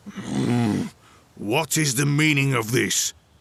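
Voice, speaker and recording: Growling in a put-on character voice, a man speaks at a medium pitch and a very slow pace. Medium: read story. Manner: gruff, irritable.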